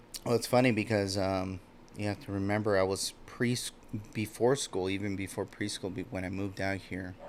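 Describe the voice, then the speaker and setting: A man at a fairly quick pace and fairly low pitch, with fairly even intonation. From Los Angeles area, California (born Mexico City). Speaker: podcast guest. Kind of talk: casual conversation.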